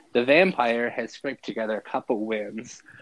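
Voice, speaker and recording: Here is a man with a normal speaking voice. His intonation stays fairly even. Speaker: fantasy football podcast host. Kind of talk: casual chat.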